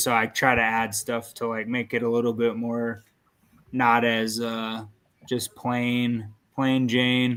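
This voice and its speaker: Monotone and flat, a man speaks at a medium pitch. His pace is fairly slow. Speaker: content creator. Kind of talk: casual chat.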